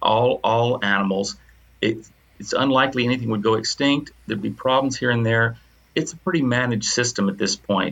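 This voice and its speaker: Speaking at a fairly quick pace with an American accent, this is a normal speaking voice with ordinary pitch variation. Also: man, medium pitch for a man. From US South. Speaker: retired professor. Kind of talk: casual chat.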